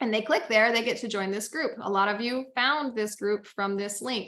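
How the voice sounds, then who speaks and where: Loud and bright with a sharp tone, a woman's fairly high voice moves at a moderate pace with ordinary pitch variation. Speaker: business coach. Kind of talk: webinar tutorial.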